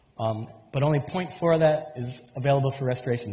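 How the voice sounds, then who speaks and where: A man's fairly quick voice with ordinary pitch variation, audible room echo and noticeable background noise. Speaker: conference speaker, mangrove restoration researcher. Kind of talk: conference presentation.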